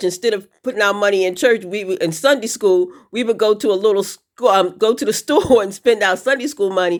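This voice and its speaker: At a moderate pace, a woman talks in a fairly high voice with ordinary pitch variation, an ordinary speaking voice. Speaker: show host. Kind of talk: casual interview questions.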